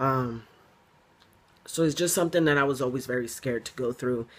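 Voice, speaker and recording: Fairly quick and fairly even in intonation, a man talks at a medium pitch. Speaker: video blogger. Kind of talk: casual chat. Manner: halting.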